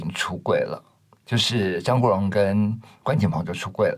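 A man with a medium pitch and a somewhat breathy voice speaks at a fairly slow pace. His intonation is lively. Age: 50s. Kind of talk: interview conversation.

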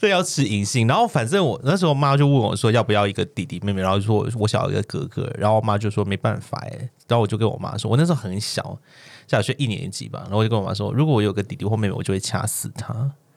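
A man at medium pitch, very fast in pace, with ordinary pitch variation. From Hong Kong. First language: Cantonese (speaking Chinese). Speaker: podcast co-host. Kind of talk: casual chat.

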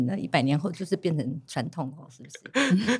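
Speaking at a very fast pace, a woman's voice makes very wide pitch swings. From Taiwan, Amis community. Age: old. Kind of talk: casual chat.

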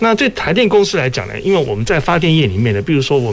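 Over noticeable background noise, a man's voice moves in very wide pitch swings. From Taiwan, Kaohsiung. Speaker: power utility executive. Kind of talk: radio panel discussion. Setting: radio studio, live broadcast.

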